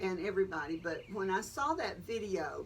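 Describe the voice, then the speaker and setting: A woman talks with a Southern US accent. Her pitch is medium, with ordinary pitch variation. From Columbus, Georgia. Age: 70s. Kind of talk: interview answer. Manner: frank, conversational.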